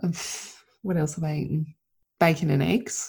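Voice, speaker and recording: A woman's fairly low voice at a moderate pace, somewhat breathy, with a dark, mellow tone. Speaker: podcast host and mentor for mothers. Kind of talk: solo monologue podcast. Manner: unscripted, loosely rambling.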